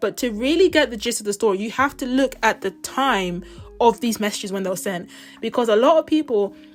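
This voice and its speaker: Fairly quick speech from a woman in a British accent. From Britain. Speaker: pop culture YouTuber. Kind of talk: casual commentary vlog. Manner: chatty, fast.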